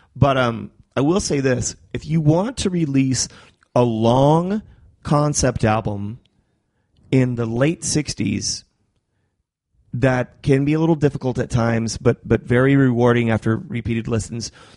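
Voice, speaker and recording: A man's dark, mellow voice at medium pitch, with ordinary pitch variation, a fairly slow pace and long, frequent pauses. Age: 30s. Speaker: podcast host.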